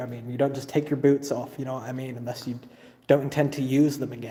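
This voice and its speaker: This man speaks in a fairly high, monotone voice with flat intonation. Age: 30s. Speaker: urban explorer vlogger. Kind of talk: live stream vlog. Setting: abandoned motel. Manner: casual.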